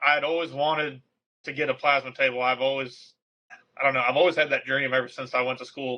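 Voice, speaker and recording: A man with an American accent talks at a very fast pace in a medium pitch. His intonation is monotone and flat. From Texas. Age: 20s. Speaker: derby driver and parts fabricator. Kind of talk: casual podcast interview.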